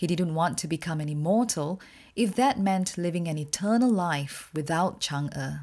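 With a plain, everyday voice, a woman talks at a moderate pace, her pitch fairly low and its variation ordinary, on a very clean recording with a silent background. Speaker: podcast host and storyteller. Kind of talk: folk tale narration, storytelling in a measured, vivid, dramatic style; scripted podcast intro and outro. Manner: measured, expressive storyteller pacing; warm, friendly, informative.

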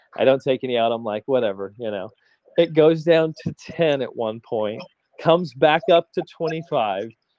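A man's fairly high voice at a moderate pace, lively in intonation, a plain, everyday voice. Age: 40s. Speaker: crypto podcast co-host, real estate investor. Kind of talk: casual chat.

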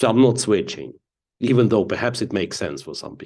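A man with a Ukrainian accent speaks fairly quickly at a fairly low pitch. Vocal fry runs through his voice. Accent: Russian-speaking Ukrainian. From eastern Ukraine, Donetsk. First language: Russian. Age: 40s. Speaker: chess grandmaster and commentator. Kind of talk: casual interview.

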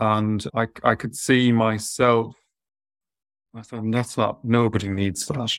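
Speaking at a very slow pace, a man has an Irish accent and a medium pitch. His intonation is monotone and flat. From southwest Ireland. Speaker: veterinary surgeon and talent manager. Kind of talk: interview on an online webinar. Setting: video call.

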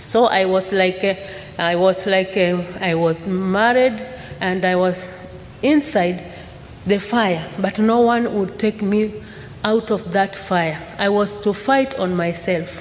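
A woman talks at a very slow pace with a Tanzanian accent, her pitch medium and its variation ordinary. Noticeable background noise sits behind her. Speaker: church mission worker. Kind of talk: testimony. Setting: church. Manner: halting.

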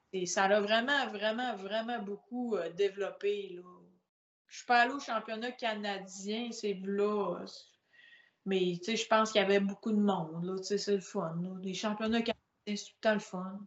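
A woman speaks in a plain, everyday voice at a fairly slow pace, her medium pitch carried on fairly even intonation while her loudness swings widely. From Quebec, Saguenay (La Baie). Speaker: powerlifter. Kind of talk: casual chat.

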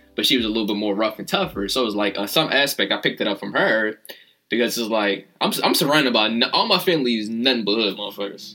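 A medium-pitched man at a very fast pace, animated in tone with ordinary pitch variation, amid noticeable background noise. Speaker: podcast host. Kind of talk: casual chat. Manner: animated, casual, profane.

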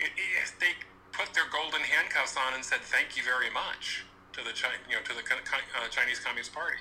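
A fairly quick delivery against noticeable background noise. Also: man. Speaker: co-host. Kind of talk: casual discussion. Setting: remote online connection.

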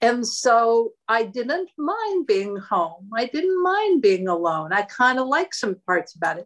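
Talking very slowly yet hardly pausing, a woman with an American accent and a fairly high voice swings very widely in pitch. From Erie, Pennsylvania, US. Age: 60s. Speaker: host's mother, home cook. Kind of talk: casual chat. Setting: video call.

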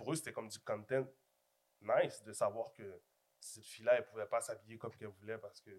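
A man speaks at a very fast pace, with big swings in loudness. Long, frequent pauses break up his speech. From Montreal-Nord, Quebec. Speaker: podcast host. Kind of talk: casual chat.

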